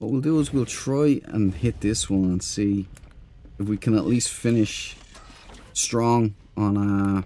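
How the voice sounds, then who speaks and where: Dark and mellow, a fairly low-pitched male voice speaks at a very slow pace with ordinary pitch variation. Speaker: game streamer. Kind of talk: live gameplay stream chat. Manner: casual, hesitant with fillers.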